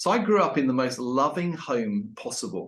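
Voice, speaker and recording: A man speaks with an English accent. His pitch swings very widely. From England. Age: 50s. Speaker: leadership consultant and author. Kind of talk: interview podcast. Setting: at home with dog.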